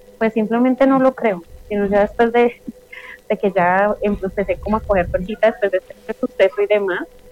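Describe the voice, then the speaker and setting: With music in the background, a woman talks at a fairly quick pace and with fairly even intonation. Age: 30s. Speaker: witch and esoteric practitioner. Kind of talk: interview conversation.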